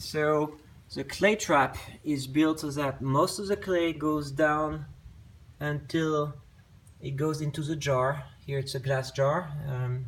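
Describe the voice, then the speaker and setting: A man with a strong French accent sounds somewhat breathy, his fairly high pitch moving in fairly even intonation. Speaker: potter. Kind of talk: casual tutorial talk to camera. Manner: hesitant, with fillers.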